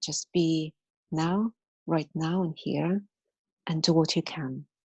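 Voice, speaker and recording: A woman with a Russian accent, a fairly low, somewhat breathy voice and a fairly slow pace. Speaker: martial arts teacher. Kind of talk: interview answer.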